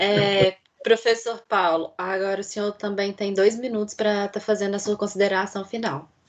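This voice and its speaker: In a Minas Gerais accent, a woman talks at a fairly slow pace with a medium pitch. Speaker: debate moderator, student. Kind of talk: moderating a debate.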